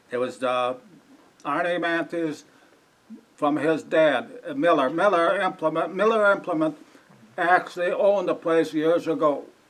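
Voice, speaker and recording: A man with an American accent talks at a moderate pace in a high voice, with ordinary pitch variation and long, frequent pauses. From Wisconsin, US Midwest. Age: 80s+. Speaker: local elder interviewed by historical society. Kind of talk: oral history interview before audience. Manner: halting, searching for words.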